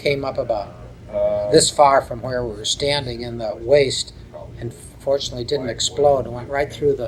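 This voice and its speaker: A man with a Midwestern American accent at medium pitch, moderate pace and fairly even intonation, big swings in loudness, and noticeable background noise. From Cleveland, Ohio. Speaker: war veteran. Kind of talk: interview answer. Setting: reunion event.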